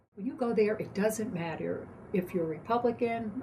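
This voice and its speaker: Fairly slow female speech with ordinary pitch variation over noticeable background noise. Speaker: poll worker. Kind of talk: interview answer.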